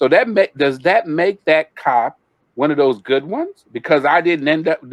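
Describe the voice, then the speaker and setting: A man with a normal speaking voice talks at a moderate pace in a dry, close sound with no echo. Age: 60s. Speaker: community panelist. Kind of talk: panel discussion.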